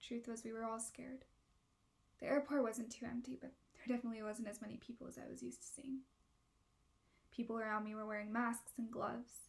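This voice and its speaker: A woman talks at a very fast pace but leaves long, frequent pauses. Her fairly high voice stays monotone and flat. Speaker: theatre student. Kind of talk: reflective first-person narration.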